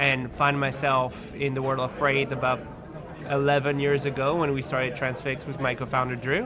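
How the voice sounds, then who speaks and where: Speech comes in a French accent at a moderate pace with monotone, flat intonation, amid audible room echo and noticeable background noise. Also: man, fairly high pitch for a man. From France. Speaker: tech company CEO. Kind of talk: interview. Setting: on site at a conference. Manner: halting, many repetitions.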